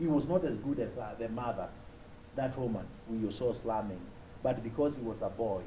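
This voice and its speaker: Speaking at a moderate pace with ordinary pitch variation, a man with a Kenyan accent has a medium pitch, and audible room echo surrounds the recording. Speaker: humanitarian speaker. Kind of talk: conference talk with personal stories.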